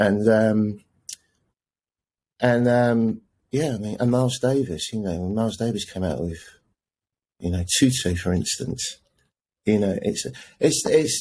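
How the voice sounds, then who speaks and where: On a very clean recording with a silent background, a man speaks with an English accent at medium pitch. His pace is fairly slow, with ordinary pitch variation and long, frequent pauses. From England, partly raised in the Netherlands. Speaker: jazz saxophonist and music professor. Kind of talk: casual interview chat.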